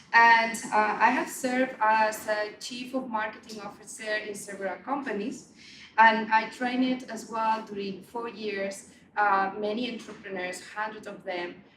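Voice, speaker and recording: Recorded with audible room echo, noticeable background noise and big swings in loudness, a woman speaks at a fairly slow pace in a fairly high pitch with fairly even intonation. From Spain (Barcelona). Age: 40s. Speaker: meetup organizer and marketing head. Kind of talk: event introduction speech. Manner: hesitant, many fillers and repeats.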